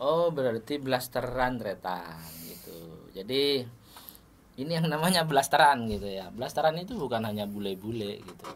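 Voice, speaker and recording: A man's medium-pitched voice at a moderate pace, with very wide pitch swings and big swings in loudness. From Madura, Indonesia. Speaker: podcast host, sitcom actor. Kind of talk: casual interview chat.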